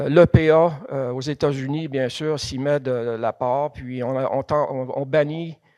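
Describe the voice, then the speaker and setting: A man speaks at a fairly high pitch in a dark, mellow tone with fairly even intonation. The background is quiet, and the sound is dry and close with no echo. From Quebec, Thetford Mines area. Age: 60s. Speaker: museum president, geologist giving a lecture. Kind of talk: lecture. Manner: halting, many hesitations.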